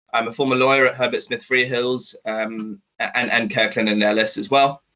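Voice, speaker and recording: In a London accent, a man of medium pitch speaks at a moderate pace with a bright, sharp tone. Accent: British (London), noticeable. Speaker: startup executive, former lawyer. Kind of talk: business presentation. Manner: halting, many fillers and restarts.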